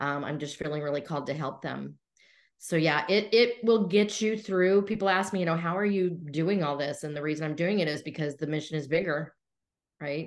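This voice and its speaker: A woman speaks fairly quickly in a normal speaking voice, fairly low with ordinary pitch variation, against a quiet background. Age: 60s. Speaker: entrepreneur coach. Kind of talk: interview.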